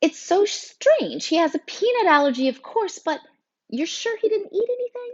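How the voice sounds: A woman speaks at a moderate pace in a put-on character voice. Her pitch is extremely high and swings widely.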